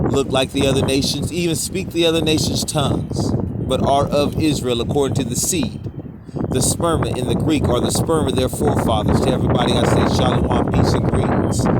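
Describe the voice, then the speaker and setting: Fairly even intonation and very even loudness at a fairly quick pace, with audible room echo and noticeable background noise. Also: man, fairly high pitch for a man. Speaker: street preacher. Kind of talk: sermon. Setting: outdoors.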